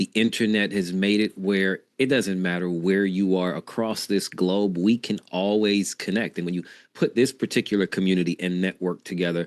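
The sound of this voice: The voice is raspy. Its intonation stays fairly even. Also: man, low pitch for a man, moderate pace.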